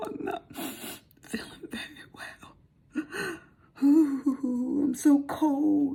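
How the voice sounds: A woman puts on a whiny character voice, high in pitch, very slow in pace and with fairly even intonation.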